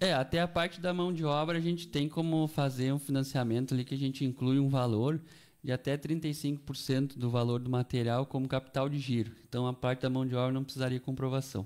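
At a fairly quick pace, a man with an unremarkable speaking voice of medium pitch talks with fairly even intonation and very even loudness. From Canguçu, Rio Grande do Sul, Brazil. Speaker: agricultural credit officer. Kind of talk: radio interview.

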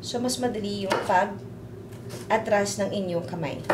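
A woman's fairly slow speech comes through loud background noise. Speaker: cooking show host. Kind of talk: tutorial. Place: kitchen. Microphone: lapel.

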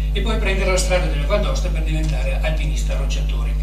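Loud background noise and audible room echo surround a man as he speaks. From Asiago plateau, Veneto, Italy. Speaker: writer and speaker on Rigoni Stern. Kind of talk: conference lecture. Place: hall.

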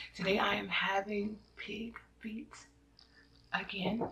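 A woman speaks in a flat monotone with light noise in the background. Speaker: mukbang / eating show host. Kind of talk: casual talk to camera. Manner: soft-spoken. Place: home room. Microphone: phone near.

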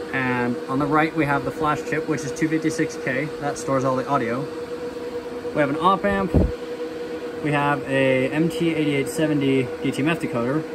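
The speech moves at a moderate pace. Loud background noise fills the recording. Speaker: electronics hobbyist. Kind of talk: casual project demo to camera. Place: home room. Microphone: phone near.

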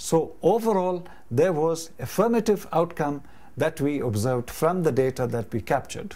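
A man speaks at a moderate pace in a dark, mellow tone. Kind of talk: explanatory talk to camera. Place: home room. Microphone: lapel.

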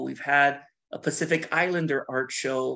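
A man speaks with an American accent. His pace is very slow. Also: quiet background. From US West Coast, Washington state (Bothell); Washington. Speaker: artist. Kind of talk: lecture. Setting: video call. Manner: talkative, laughs often. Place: home room. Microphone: video call.

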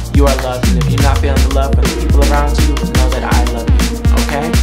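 A man's voice over loud music in the background. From rural Appalachian US. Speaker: teacher and PhD student. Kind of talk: casual talk to camera. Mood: warm, encouraging. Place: home room.

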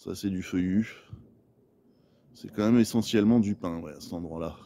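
This man talks at a moderate pace with a low pitch and ordinary pitch variation. His tone is dark and mellow.

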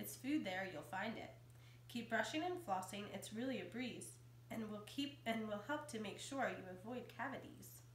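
Light background noise and audible room echo around a woman speaking at a moderate pace. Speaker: elementary school teacher. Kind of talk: children's picture book read-aloud. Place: home room.

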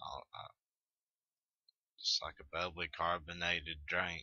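A man with a Southern US accent. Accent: Southern American. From Tennessee, Southern US. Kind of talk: casual talk to camera. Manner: casual, hesitant.

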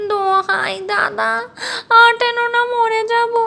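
An extremely high-pitched, put-on character voice. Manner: pleading whine.

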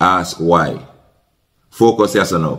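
In a Jamaican accent, a man talks at a fairly slow pace, his very deep, low pitch marked by vocal fry. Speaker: podcast host, commentator. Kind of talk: commentary on viral video. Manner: animated.

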